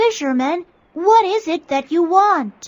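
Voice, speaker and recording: A squeaky put-on character voice with an extremely high pitch moves at a fairly slow pace. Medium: read story.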